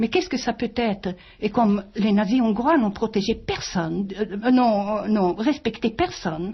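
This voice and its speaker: A woman with a German accent speaks at a fairly slow pace with hardly any pauses, her somewhat breathy, fairly high voice showing ordinary pitch variation and big swings in loudness. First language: German (speaking French). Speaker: author and wartime witness. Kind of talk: interview. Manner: halting.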